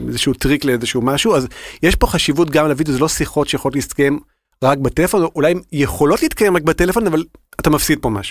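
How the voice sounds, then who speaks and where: Talking at a very fast pace, a man uses a fairly high pitch and ordinary pitch variation. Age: 40s. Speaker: health-tech innovation manager. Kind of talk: interview.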